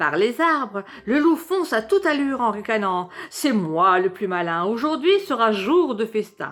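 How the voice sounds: A natural reading voice is heard here.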